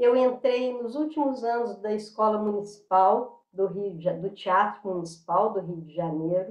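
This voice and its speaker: The woman's voice sits at a fairly high pitch. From Minas Gerais, Brazil (Belo Horizonte). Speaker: dancer and tai chi practitioner. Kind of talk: interview. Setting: video call. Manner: halting, many fillers.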